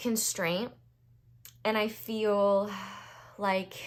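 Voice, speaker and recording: A woman talks with an American accent. Her pace is very slow. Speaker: tarot reader. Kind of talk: tarot reading monologue. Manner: hesitant, many fillers.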